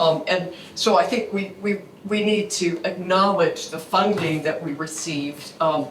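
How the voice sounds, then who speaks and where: Noticeable background noise and audible room echo accompany a woman speaking at a medium pitch, fairly slowly, with fairly even intonation. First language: Japanese. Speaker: conservator. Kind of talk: symposium presentation. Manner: halting, many repetitions.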